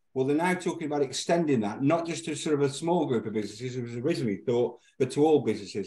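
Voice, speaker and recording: A man talks at a very fast pace in a dark, mellow tone with ordinary pitch variation. Room echo is audible, while the background stays quiet. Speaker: guest. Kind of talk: news review commentary. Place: home room. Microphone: video call.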